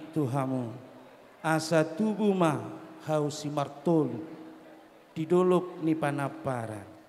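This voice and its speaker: A man's fairly high-pitched voice at a very slow pace, with long, frequent pauses, ordinary pitch variation and noticeable background noise. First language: Batak Toba (speaking Indonesian). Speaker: clan association leader at wedding. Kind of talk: ceremonial speech.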